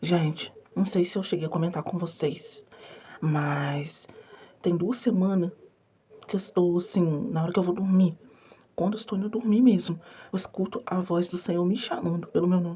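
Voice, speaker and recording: At a moderate pace, a woman speaks at a fairly low pitch with ordinary pitch variation and a somewhat breathy voice. Long, frequent pauses break up her speech. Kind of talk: testimony. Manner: soft-spoken.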